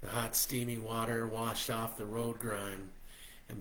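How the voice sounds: The reading here is done in a natural voice.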